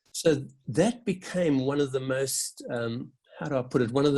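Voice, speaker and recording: A fairly slow, somewhat breathy voice. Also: man. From South Africa. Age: 60s. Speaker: Methodist minister. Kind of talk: interview answer. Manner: reflective, with hesitations.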